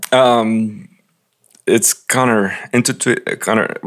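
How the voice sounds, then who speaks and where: A man speaks at medium pitch with a Latin American accent. The recording is very clean, with a silent background. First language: Spanish. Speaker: pastor. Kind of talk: interview.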